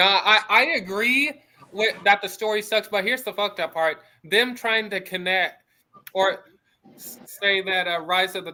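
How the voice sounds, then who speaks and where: Raising and projecting his high-pitched voice, a man speaks at a moderate pace with fairly even intonation and big swings in loudness. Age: 20s. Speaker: birthday guest. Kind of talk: casual chat. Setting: live stream voice chat.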